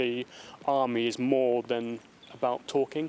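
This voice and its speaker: At a fairly slow pace, a man speaks in a monotone, flat intonation. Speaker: serviceman with a stammer. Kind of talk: interview testimony. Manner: stammering, halting.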